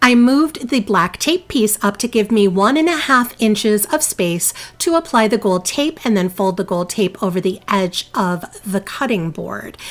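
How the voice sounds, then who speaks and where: A woman with a New Jersey accent speaks at a moderate pace in a fairly high pitch. Her intonation is lively, and noticeable background noise is present. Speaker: DIY crafting youtuber. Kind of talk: tutorial voiceover. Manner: casual, chatty.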